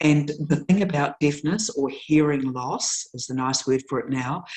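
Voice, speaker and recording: A woman with a New Zealand accent, very deep and low in pitch, at a fairly slow pace, with ordinary pitch variation. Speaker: nurse educator. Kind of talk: lecture. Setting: webinar. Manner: slow, deliberate articulation.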